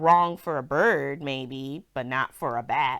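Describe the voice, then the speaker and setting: A loud, put-on character voice at a fairly slow pace, in a very clean recording with a silent background. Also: woman. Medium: read story. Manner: blunt, matter-of-fact.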